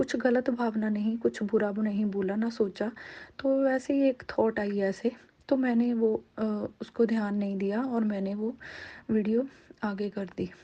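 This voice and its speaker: With a Punjabi accent, a woman speaks in a fairly high pitch with a dark, mellow, somewhat breathy tone and fairly even intonation. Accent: Punjabi-accented Hindi. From Punjab, India. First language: Punjabi (speaking Hindi). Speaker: devotee sharing experience. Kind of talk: testimony. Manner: halting.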